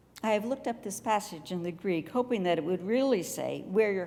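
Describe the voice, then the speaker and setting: A woman with an American accent talks in a medium pitch with vocal fry, a dark, mellow tone and lively intonation. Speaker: retired pastor, guest preacher. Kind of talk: church sermon.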